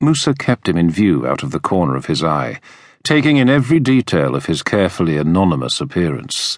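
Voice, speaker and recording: With a British accent and vocal fry, a man speaks at a fairly quick pace in a very deep, low pitch with very wide pitch swings, against a quiet background. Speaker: audiobook narrator. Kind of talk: dramatic audiobook narration of a historical thriller, read aloud. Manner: tense, measured storytelling pace, building suspense.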